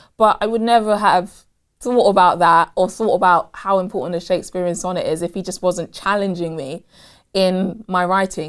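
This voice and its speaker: Using a normal speaking voice at a medium pitch, a woman keeps her intonation fairly even. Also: moderate pace. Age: 20s. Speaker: spoken word poet. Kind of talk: interview answer.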